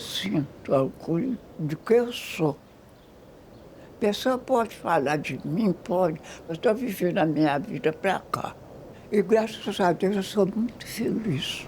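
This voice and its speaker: A woman's very slow speech with lively intonation, long, frequent pauses and big swings in loudness. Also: medium pitch for a woman. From Minas Gerais, Brazil. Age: 80s+. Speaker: documentary subject. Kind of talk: documentary interview answer.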